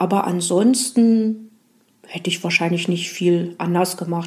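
A woman is speaking, somewhat breathy. Her pitch varies in an ordinary way. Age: 40s. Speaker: museum guide. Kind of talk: interview. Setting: museum.

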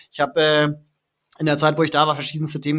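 Monotone and flat in intonation, a man speaks with a fairly high pitch. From northern Germany, Kiel. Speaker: startup founder and CEO. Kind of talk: interview.

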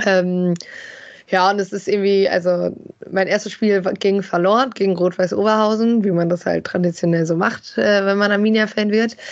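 In a normal speaking voice, a woman speaks at a moderate pace and medium pitch, with fairly even intonation and very even loudness. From Germany, Bielefeld. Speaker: football fan expert. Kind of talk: casual chat.

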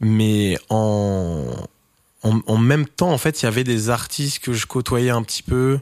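A man speaks at a very slow pace with ordinary pitch variation in a very clean recording with a silent background and a dry, close sound with no echo. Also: medium pitch for a man. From France, Touraine. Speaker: record label founder and DJ. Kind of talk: casual interview.

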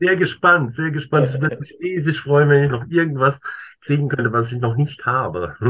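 Moving at a moderate pace, the voice has a bright, sharp tone and ordinary variation in pitch. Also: man, fairly high pitch for a man. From Worms, Germany. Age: 50s. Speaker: stamp collector. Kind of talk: casual interview. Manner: halting, many fillers.

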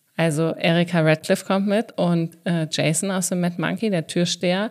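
A woman speaks fairly slowly at a fairly low pitch, her intonation fairly even. The recording is very clean, with a silent background. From southern Hesse. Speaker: podcast host and comedian. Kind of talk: casual chat.

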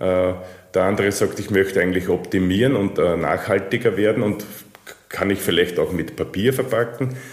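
Speaking with a plain, everyday voice, a man keeps a middling pace, his pitch fairly low and its movement ordinary. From Austria. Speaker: packaging machinery sales manager. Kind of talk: interview.

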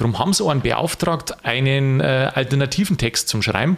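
Vocal fry and ordinary pitch variation come through in a voice with a Lower Bavarian accent. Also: man. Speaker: podcast host. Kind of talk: casual chat.

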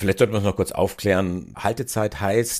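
A man with a fairly low pitch has an unremarkable speaking voice and a moderate pace. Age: 50s. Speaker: podcast host. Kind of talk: interview.

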